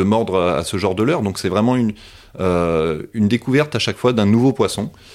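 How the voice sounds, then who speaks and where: A man talks with ordinary pitch variation at a moderate pace. The background is silent and the recording very clean. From Paris region, France. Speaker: fishing guide. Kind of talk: casual interview. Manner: halting.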